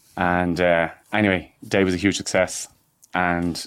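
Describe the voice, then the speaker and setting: A man with a very deep, low pitch and a Dublin accent, in a very clean recording with a silent background. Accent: Irish (Dublin). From Ireland, north County Dublin. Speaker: entrepreneur and farmer. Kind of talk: interview. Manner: halting, many repetitions.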